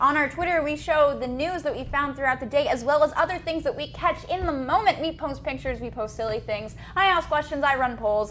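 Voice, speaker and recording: Over noticeable background noise, a woman with an American accent talks at a fairly quick pace and a high pitch, with ordinary pitch variation and hardly any pauses. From South Jersey. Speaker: gaming news show co-host. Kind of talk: casual chat. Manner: animated.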